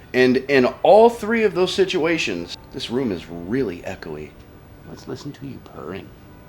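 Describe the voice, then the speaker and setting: Over music in the background, the speaker moves at a fairly slow pace with very wide pitch swings. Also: man. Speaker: camera reviewer. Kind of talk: casual rant to camera. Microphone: echoey room.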